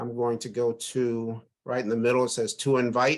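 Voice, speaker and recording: An unremarkable speaking voice from a man, medium in pitch, fairly quick, with fairly even intonation. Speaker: crypto investment presenter. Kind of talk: online webinar tutorial.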